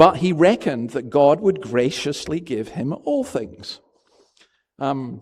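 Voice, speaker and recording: A man talks with a Scottish accent. His tone is dark and mellow. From Scotland. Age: 60s. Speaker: pastor. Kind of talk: sermon. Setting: church. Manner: conversational.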